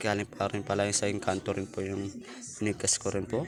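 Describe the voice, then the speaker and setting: This man's voice is on the lower side. He talks rather quickly. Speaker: YouTuber on spiritual practices. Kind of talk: casual vlog. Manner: halting.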